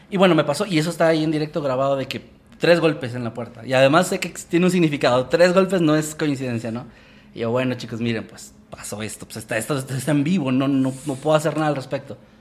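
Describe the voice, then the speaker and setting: Delivered at a very fast pace, the speech has big swings in loudness against noticeable background noise. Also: man, fairly high pitch for a man, ordinary pitch variation. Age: 20s. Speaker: horror storytelling youtuber. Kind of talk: casual chat.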